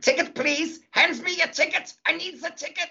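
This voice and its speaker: Someone puts on a character voice at a high pitch, in a German accent, at a moderate pace. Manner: stern, demanding.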